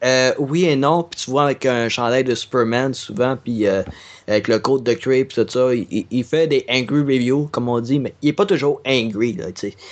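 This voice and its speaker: A man with an unremarkable speaking voice talks at a fairly slow pace, his pitch medium and its variation ordinary. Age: 20s. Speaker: podcaster and gaming video creator. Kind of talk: casual chat.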